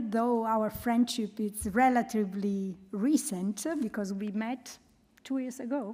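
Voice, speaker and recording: With a strong Italian accent, a woman speaks at a very slow pace. Her fairly high voice has a dark, mellow tone and ordinary pitch variation. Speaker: humanitarian programme coordinator and researcher. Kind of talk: presentation.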